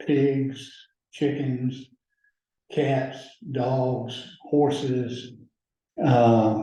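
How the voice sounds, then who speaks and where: In a room with audible echo, a man with an Alabama accent speaks very slowly at a medium pitch, his somewhat breathy voice dark and mellow, his intonation monotone and flat, with long, frequent pauses. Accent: Southern US (Alabama). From US South, rural Alabama (Lowndes County). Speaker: judge. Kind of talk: oral history interview.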